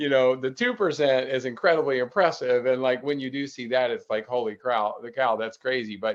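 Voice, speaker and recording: Speaking at a fairly quick pace with hardly any pauses, a man uses an unremarkable speaking voice at medium pitch with ordinary pitch variation. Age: 60s. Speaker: ultrarunner. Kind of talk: casual chat.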